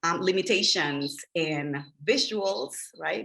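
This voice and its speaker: A woman with a fairly low pitch talks in a Spanish accent. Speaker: media trainer, former journalist. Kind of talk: workshop presentation over video call.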